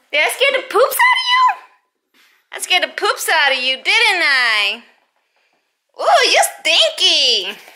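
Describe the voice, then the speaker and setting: Raising and projecting her voice, a woman speaks at a fairly slow pace with very wide pitch swings and a bright, sharp tone. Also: quiet background. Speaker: mom vlogger. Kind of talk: casual vlog chat. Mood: playful, upbeat.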